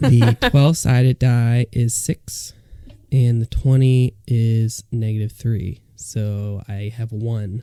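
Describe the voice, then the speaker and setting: A man's dark, mellow, bored tone at a very slow pace with fairly even intonation. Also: medium pitch for a man. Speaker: podcast co-host. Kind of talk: casual chat. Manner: flat, bored-sounding.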